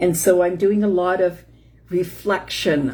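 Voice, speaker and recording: The voice has vocal fry. Its tone is dark and mellow. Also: woman. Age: 60s. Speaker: chronic illness support host. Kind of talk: casual live-stream talk. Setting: Facebook live stream. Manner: halting, many fillers.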